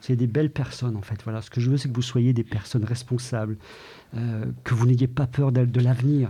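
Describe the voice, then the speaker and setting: A somewhat breathy man's voice, medium in pitch, dark and mellow in tone, at a fairly quick pace. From Ardennes, France. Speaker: deputy school principal. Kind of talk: interview.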